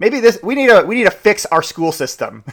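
The voice has an energetic, upbeat tone and a fairly quick pace. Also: man. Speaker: real estate broker and podcast host. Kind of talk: solo podcast monologue about market news. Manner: fast talker.

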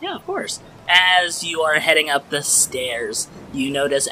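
A man's fairly high-pitched voice at a fairly slow pace, over noticeable background noise. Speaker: podcast game master and editor. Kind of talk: tabletop role-play game narration. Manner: animated.

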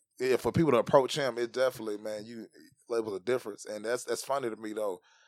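A man with a Southern US accent talks at a very fast pace. The sound is dry and close, with no echo. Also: very clean recording, silent background. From Tennessee. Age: 30s. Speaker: stand-up comedian. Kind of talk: casual chat.

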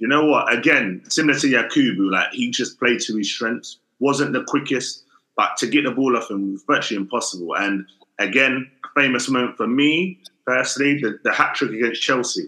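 A man in an unremarkable speaking voice, with ordinary pitch variation and a moderate pace. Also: medium pitch for a man. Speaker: podcast co-host, football pundit. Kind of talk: casual football debate.

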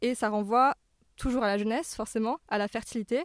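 A woman speaks in a normal speaking voice at a fairly high pitch. Her pace is fairly quick, with ordinary pitch variation. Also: very clean recording, silent background. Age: 20s. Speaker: pop culture media creator. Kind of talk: casual chat.

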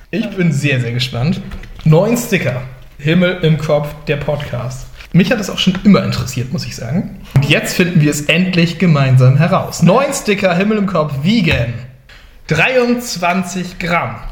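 Over noticeable background noise and audible room echo, a man with a high pitch talks at a fairly slow pace in an animated tone with lively intonation. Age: 20s. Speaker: youth deacon and game host. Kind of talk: game show hosting.

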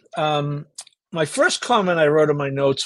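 A man with a plain, everyday voice speaks at a fairly slow pace, his pitch fairly high with ordinary variation. The background is quiet. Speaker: horse racing panelist. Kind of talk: casual chat.

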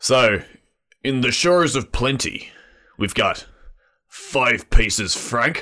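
A man's put-on character voice at medium pitch, fairly slow pace, with long, frequent pauses

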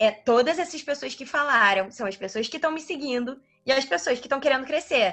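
A bright, sharp tone at a fairly quick pace, with lively intonation and big swings in loudness. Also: woman, high pitch for a woman. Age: 20s. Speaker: medical student and digital influencer. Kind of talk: casual interview.

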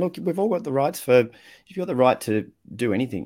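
In an Australian accent, a man speaks with lively intonation on a very clean recording with a silent background. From Australia (Victoria). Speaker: communication coach and writer. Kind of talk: casual interview chat.

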